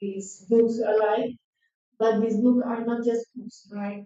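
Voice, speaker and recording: A woman with a non-native accent and a fairly high pitch speaks very slowly in a monotone, flat intonation. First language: not English. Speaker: artist working with Amazon communities. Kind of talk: symposium talk. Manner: halting.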